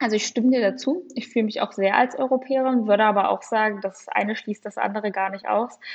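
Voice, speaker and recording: Very fast talk from a woman with a fairly high voice, ordinary pitch variation and hardly any pauses. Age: 20s. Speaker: young party politician and legal staffer. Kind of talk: political interview.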